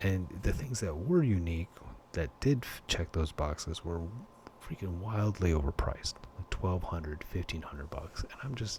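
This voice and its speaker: A whispering man at a moderate pace, somewhat breathy. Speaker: collectibles hobbyist. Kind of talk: casual talk to camera. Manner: whispered.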